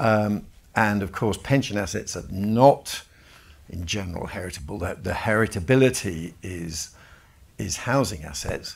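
Someone with a British accent speaks fairly slowly in a somewhat breathy voice with ordinary pitch variation. The loudness swings widely. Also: man, fairly low pitch for a man. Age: 60s. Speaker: event chair. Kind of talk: panel discussion. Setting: live event.

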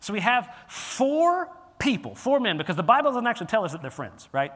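A loud, animated voice with a bright, sharp tone swings very widely in pitch. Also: man. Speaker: pastor. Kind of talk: sermon. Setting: church.

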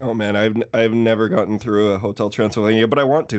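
With a Canadian accent, a man talks at a fairly quick pace and a medium pitch in an unremarkable speaking voice. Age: 30s. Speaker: horror movie podcast host. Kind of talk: casual chat.

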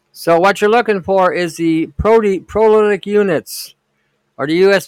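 The man's voice has ordinary pitch variation, and the sound is dry and close with no echo. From Detroit, US Midwest. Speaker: podcast host, alternative health commentator. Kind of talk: casual livestream monologue. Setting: live online stream. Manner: halting, many fillers.

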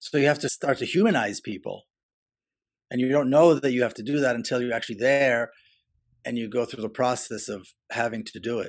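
In a very clean recording with a silent background, a man with an Israeli accent talks at a fairly quick pace in a medium pitch with ordinary pitch variation and long, frequent pauses. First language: Hebrew. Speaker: author and activist. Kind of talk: interview. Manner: halting.

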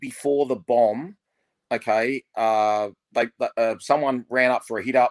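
Heard with a dry, close sound and no echo, a man with an Australian accent speaks in fairly even intonation. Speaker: podcast co-host, Wests Tigers fan. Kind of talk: casual chat.

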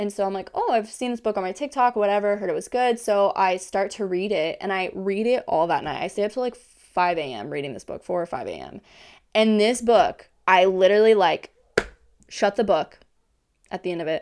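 A woman's normal speaking voice, medium in pitch, with an American accent, ordinary pitch variation, a fairly quick pace and a very clean recording over a silent background. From Kansas. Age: 20s. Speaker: podcast host. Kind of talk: casual monologue.

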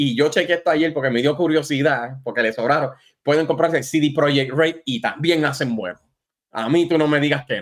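In a plain, everyday voice, a man speaks at a moderate pace with ordinary pitch variation on a very clean recording with a silent background. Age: 40s. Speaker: gaming podcast guest. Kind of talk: casual chat.

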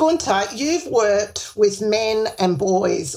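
A woman with an Australian accent, at a fairly slow pace. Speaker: podcast host. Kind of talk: interview, scripted intro.

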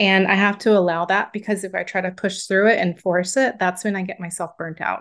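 Over a quiet background, a woman with an unremarkable speaking voice talks fairly quickly. Her pitch sits in the medium range. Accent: American. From US South. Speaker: book coach. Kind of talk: interview.

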